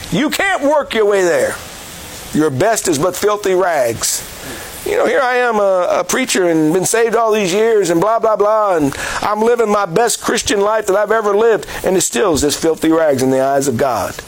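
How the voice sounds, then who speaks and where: Lively intonation at a moderate pace, very even loudness throughout, with noticeable background noise. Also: man, high pitch for a man. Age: 60s. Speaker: evangelist and jail ministry Bible teacher. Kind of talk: sermon. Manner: halting with frequent fillers.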